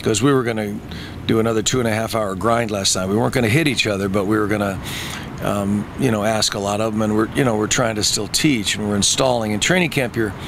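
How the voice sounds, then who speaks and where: Speaking at a very fast pace, a man uses a fairly low voice with ordinary pitch variation, the sound dry with no echo but with noticeable background noise. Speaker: football coach. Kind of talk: interview answer. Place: stadium. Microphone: handheld.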